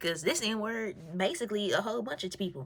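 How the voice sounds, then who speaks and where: A woman's somewhat breathy, animated voice at medium pitch, with lively intonation and a moderate pace. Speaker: vlogger. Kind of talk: casual monologue on faith.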